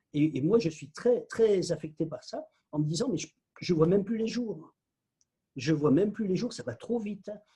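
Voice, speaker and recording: This man's voice is high for a man, with a dark, mellow tone, big swings in loudness, a moderate pace, and long, frequent pauses. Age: 60s. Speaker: spiritual teacher and author. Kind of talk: casual interview conversation.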